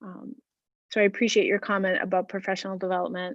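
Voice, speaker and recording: The speaker here is a woman. She uses a medium pitch. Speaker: school administrator. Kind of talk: public meeting response. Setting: public hearing. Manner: slow, hesitant.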